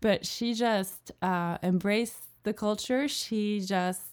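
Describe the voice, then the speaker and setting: A French accent at a very slow pace with fairly even intonation, in a very clean recording with a silent background. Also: woman. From France, Alsace (Colmar area). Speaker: freelance translator. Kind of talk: casual interview chat. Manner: hesitant with fillers.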